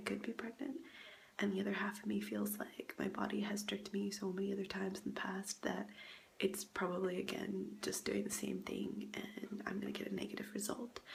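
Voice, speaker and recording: A woman with an American accent talks at a moderate pace against noticeable background noise. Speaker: vlogger. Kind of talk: personal vlog. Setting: grandmother's house, indoors. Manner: hesitant, many fillers.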